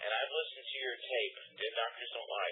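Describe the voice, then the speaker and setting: Noticeable background noise runs under a man who speaks at a very fast pace. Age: 50s. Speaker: radio caller. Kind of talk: phone-in call, personal testimony. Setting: phone call.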